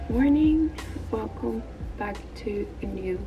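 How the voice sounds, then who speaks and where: A woman at a very slow pace, with noticeable background noise. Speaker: lifestyle vlogger. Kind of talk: casual vlog chat. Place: home room. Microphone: phone near.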